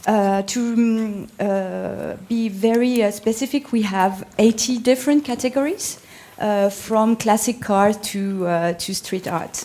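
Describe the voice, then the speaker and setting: A woman's very slow speech in a French accent. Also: fairly high pitch for a woman, ordinary pitch variation. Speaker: art marketplace manager. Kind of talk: panel presentation. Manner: halting, many fillers.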